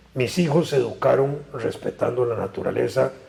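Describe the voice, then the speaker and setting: The speaker is a man going at a moderate pace. Noticeable background noise runs underneath. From Costa Rica, San José. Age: 70s. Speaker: political analyst. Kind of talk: interview.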